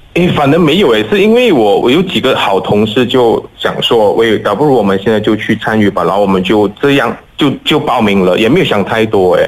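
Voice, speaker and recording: Through noticeable background noise, a man with a medium pitch speaks at a fairly quick pace with hardly any pauses, lively intonation and very even loudness. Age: 30s. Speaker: flight attendant volunteering at a vaccination centre. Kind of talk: radio interview, casual chat.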